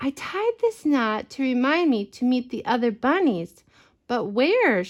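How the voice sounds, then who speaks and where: A high-pitched woman's put-on character voice at a fairly slow pace. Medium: read story.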